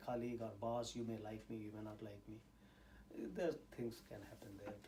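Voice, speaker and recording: A man with an Indian accent speaks at a fairly low pitch with ordinary pitch variation, and audible room echo surrounds him. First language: Indian language; English is third language. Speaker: scientist and university teacher. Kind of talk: interview. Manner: hesitant, many fillers.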